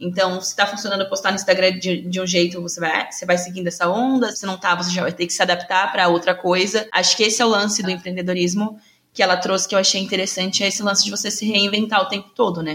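The delivery is very fast, with hardly any pauses. The intonation stays monotone and flat. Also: woman, medium pitch for a woman. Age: 20s. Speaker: podcast host, journalist. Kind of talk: casual chat.

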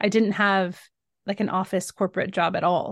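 A woman with a medium-pitched voice speaks with fairly even intonation. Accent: American. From Northern California, US. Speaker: magazine editor and author.

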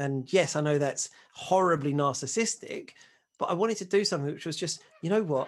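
This man's pitch is high, with ordinary variation. He talks at a fairly quick pace. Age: 40s. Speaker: single dad on dating podcast. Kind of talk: casual chat.

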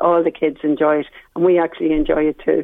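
Speaking with an Irish accent, a woman keeps a fairly quick pace. Her fairly low voice has fairly even intonation. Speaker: swim instructor. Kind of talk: radio interview. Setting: phone call.

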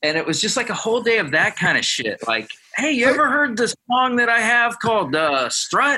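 With an American accent, a man projects a raised voice at an extremely high pitch, his bright, sharp tone making very wide pitch swings at a moderate pace and very even loudness. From Ohio, near Columbus. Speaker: guitar player. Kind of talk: casual chat.

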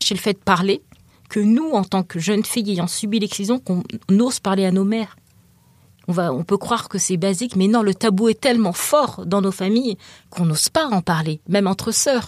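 Using an ordinary speaking voice, a woman talks at a moderate pace and medium pitch with ordinary pitch variation, the sound dry and close with no echo. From France, African heritage. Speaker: writer, excision survivor. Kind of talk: interview.

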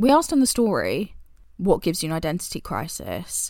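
Lively intonation marks this woman's speech in a British accent. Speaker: podcast co-host. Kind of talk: casual chat.

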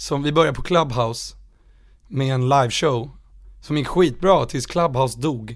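At a fairly slow pace, a man speaks with medium pitch. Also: ordinary pitch variation. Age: 20s. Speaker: musician. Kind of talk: casual chat.

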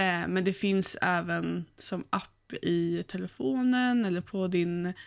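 The recording is very clean and the background silent. With a normal speaking voice, the woman stays at a medium pitch and varies it in an ordinary way. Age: 30s. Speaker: podcast co-host, virtual assistant student. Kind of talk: casual chat.

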